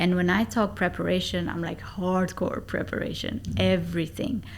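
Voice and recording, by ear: Her voice sits at a fairly low pitch for a woman.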